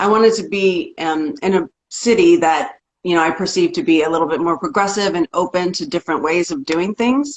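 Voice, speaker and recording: With an ordinary speaking voice, a woman talks at a medium pitch and a fairly quick pace, her intonation lively. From rural Oklahoma, US. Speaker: singer-songwriter. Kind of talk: interview. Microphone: clear connection.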